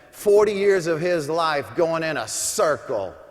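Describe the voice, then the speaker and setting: A man speaks at a fairly high pitch with ordinary pitch variation. His pace is fairly slow, and noticeable background noise runs behind him. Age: 60s. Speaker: motivational speaker. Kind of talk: motivational speech. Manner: animated.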